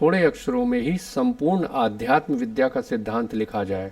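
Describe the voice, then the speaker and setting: This man's fairly high voice moves in very wide pitch swings. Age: 60s. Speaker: spiritual YouTuber. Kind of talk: scripted narration. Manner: formal.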